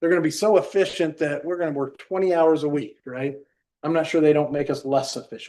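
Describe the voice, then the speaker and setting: Fairly high for a man but dark and mellow in tone, this voice moves at a fairly quick pace with fairly even intonation. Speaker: school superintendent. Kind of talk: board meeting discussion. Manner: usually fluent, rarely stutters.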